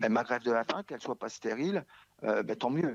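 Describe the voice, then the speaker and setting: Recorded dry and close with no echo, a man speaks over a quiet background. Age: 60s. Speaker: hunger striker. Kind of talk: interview. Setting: remote interview from home. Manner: halting, repetitive.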